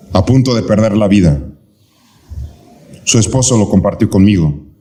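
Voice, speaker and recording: In a room with audible echo, a man with a fairly low pitch talks at a moderate pace with ordinary pitch variation and very even loudness. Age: 60s. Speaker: pastor. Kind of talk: sermon. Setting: church, live. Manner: animated.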